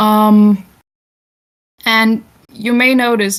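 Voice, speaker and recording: A woman talks with a Danish accent at a medium pitch and monotone, flat intonation. The recording is very clean with a silent background. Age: 20s. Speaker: festival talk speaker. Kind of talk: informal talk to an audience. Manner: sometimes stumbling over words; many filler words, unscripted.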